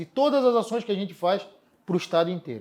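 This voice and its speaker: With a strong Florianópolis accent, a man talks at a very fast pace. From Florianópolis, Brazil. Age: 40s. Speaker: city environment secretary. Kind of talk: interview.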